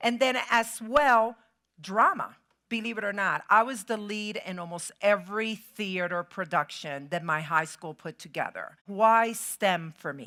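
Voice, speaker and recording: A woman's medium-pitched voice with a Spanish accent, a bright, sharp tone, lively intonation and a fairly slow pace, on a very clean recording with a silent background. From Puerto Rico. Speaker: keynote speaker, chemical engineer. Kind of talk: motivational keynote speech. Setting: stage with audience.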